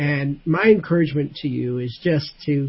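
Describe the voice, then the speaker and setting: The man's voice is somewhat breathy. Its pitch is fairly high. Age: 60s. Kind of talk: casual faith discussion.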